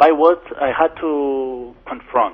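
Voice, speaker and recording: A man talks with a Greek accent. His pitch is fairly high. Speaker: lawyer. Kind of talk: interview. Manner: halting, many false starts; animated.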